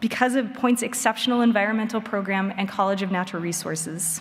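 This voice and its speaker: Audible room echo surrounds a woman with an American accent who talks at a fairly quick pace with ordinary pitch variation. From Wisconsin. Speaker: commencement speaker, state utility regulator. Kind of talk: commencement speech. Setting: stage with audience.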